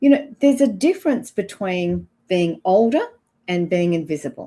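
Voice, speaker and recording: Talking at a moderate pace in an Australian accent, a woman has a dark, mellow tone that is somewhat breathy. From Australia, Perth. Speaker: ageing expert. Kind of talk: interview answers.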